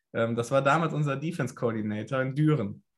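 This man has an ordinary speaking voice, pitched fairly high. He talks at a moderate pace with lively intonation. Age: 20s. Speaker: American football kicker. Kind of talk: casual interview.

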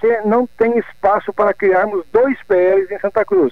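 A man's high pitch with ordinary variation, at a fairly slow pace. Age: 60s. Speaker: former politician. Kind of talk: radio interview. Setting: phone call.

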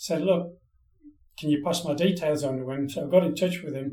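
Someone with an English accent talks at a fairly quick pace with fairly even intonation. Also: man. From northeast England. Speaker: songwriter and musician. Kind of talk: casual interview.

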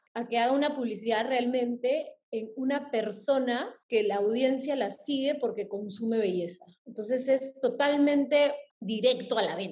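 Speaking at a fairly slow pace, a woman has a high-pitched voice. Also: ordinary pitch variation. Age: 30s. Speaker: influencer marketing agency head. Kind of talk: podcast interview.

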